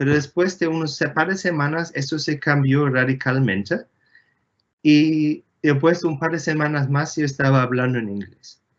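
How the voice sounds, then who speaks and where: At a fairly slow pace, a man with a German accent speaks in a fairly high pitch with ordinary pitch variation. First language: German (speaking Spanish). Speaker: astronomer, engineer. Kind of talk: Q&A interview. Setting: video call from home. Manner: halting, many fillers.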